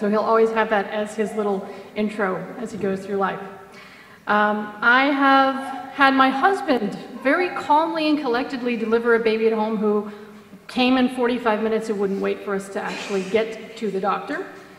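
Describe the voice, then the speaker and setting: With audible room echo and noticeable background noise, a woman speaks at a moderate pace in a fairly high voice with ordinary pitch variation. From United States. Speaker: mother telling birth stories. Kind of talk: conference talk. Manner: animated.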